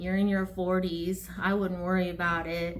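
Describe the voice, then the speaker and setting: Over audible room echo, a woman talks at a moderate pace in a medium pitch with monotone, flat intonation. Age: 40s. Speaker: counselor and yoga teacher. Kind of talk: casual talk to camera. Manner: hesitant, with fillers.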